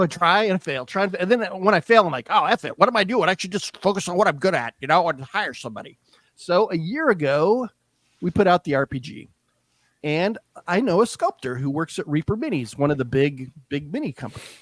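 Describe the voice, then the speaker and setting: A man talks at a fairly quick pace in a high pitch with very wide pitch swings. The recording is very clean, with a silent background and a dry, close sound with no echo. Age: 70s. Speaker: artist and game creator. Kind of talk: casual chat.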